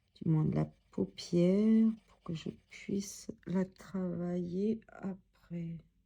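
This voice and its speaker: Very slowly and with big swings in loudness, a woman speaks at medium pitch in a somewhat breathy, dark, mellow tone with fairly even intonation. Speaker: coloring tutorial youtuber. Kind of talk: tutorial. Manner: halting; soft-spoken.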